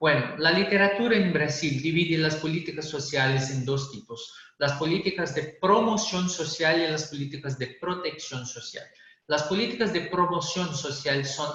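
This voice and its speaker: Amid noticeable background noise and audible room echo, a man speaks fairly slowly at a fairly high pitch with ordinary pitch variation. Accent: Brazilian. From Brazil. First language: Portuguese (speaking Spanish). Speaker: public policy specialist. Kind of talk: panel presentation. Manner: halting.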